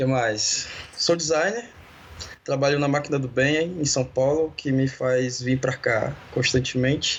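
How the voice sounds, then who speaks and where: Against noticeable background noise, a man talks at a fairly slow pace and fairly high pitch, with ordinary pitch variation and very even loudness. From Brazil, Belo Horizonte. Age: 30s. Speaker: designer and church communication leader. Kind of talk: casual interview.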